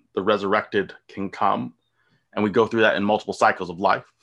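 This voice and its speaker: With music in the background, a man with an American accent speaks at a fairly low pitch and with fairly even intonation. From US, rural. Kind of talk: casual chat.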